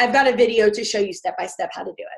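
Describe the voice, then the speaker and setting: At a fairly quick pace, a woman with a high pitch moves through very wide pitch swings. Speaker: fitness business coach. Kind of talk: training webinar. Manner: fast; animated.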